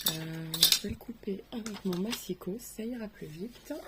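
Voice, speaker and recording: A soft-spoken woman at a very slow pace, medium pitch and lively intonation, against noticeable background noise. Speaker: craft tutorial creator. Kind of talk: tutorial.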